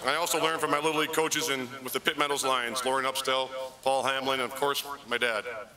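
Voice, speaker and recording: Fairly brisk male speech against clearly audible background noise. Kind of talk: acceptance speech. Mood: warm, humorous storytelling. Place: stage. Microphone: podium.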